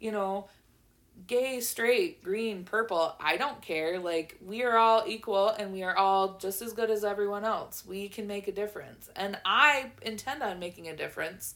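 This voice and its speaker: A woman speaks in an animated tone at a moderate pace and medium pitch, with ordinary pitch variation. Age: 20s. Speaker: podcast host. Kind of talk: casual chat.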